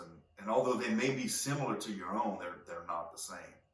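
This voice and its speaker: A man talks at a moderate pace with lively intonation, and some room echo can be heard. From Louisiana (Cajun). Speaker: podcast host. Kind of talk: solo podcast monologue. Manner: halting, many fillers and repeats.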